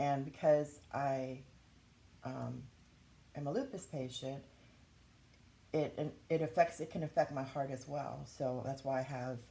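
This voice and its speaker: Vocal fry and a dark, mellow tone, with fairly even intonation, a fairly slow pace and long, frequent pauses. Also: woman, very deep, low pitch for a woman. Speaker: YouTuber sharing health experience. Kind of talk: casual vlog talk. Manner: halting, with frequent fillers.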